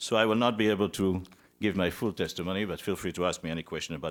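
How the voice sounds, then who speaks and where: Speaking at a very fast pace, a man is heard on a very clean recording with a silent background. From Israel and Belgium. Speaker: physician. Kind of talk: testimony. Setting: senate committee hearing. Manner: formal.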